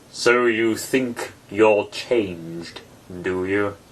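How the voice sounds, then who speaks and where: A man uses a put-on character voice with a fairly low pitch. He talks at a very slow pace with fairly even intonation. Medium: read story. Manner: terse, contradicting, short remarks.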